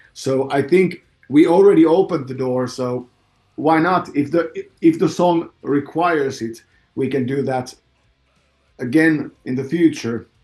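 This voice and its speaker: Against music in the background, the speaker uses ordinary pitch variation and leaves long, frequent pauses. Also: man, fairly high pitch for a man, fairly slow pace. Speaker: metal band vocalist. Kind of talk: interview. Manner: halting.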